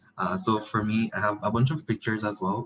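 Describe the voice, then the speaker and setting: His delivery is fairly quick. The man's voice comes across somewhat breathy. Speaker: PhD candidate researcher. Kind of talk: guest lecture. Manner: fast.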